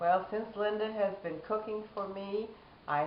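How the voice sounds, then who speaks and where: In a room with audible echo and noticeable background noise, a woman talks at a fairly slow pace. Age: 70s. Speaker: diabetes patient. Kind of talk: interview testimony.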